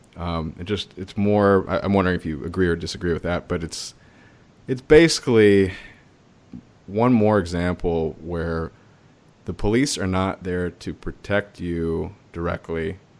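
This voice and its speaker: In a very clean recording with a silent background, a man with a very deep, low pitch talks at a moderate pace with ordinary pitch variation. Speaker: podcast host. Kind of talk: casual chat.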